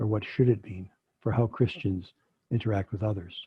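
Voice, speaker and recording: A man with an American accent speaks at a moderate pace in a somewhat breathy voice. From US Midwest, Chicago. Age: 70s. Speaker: physician and theologian, guest speaker. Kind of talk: online talk with discussion. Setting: video call.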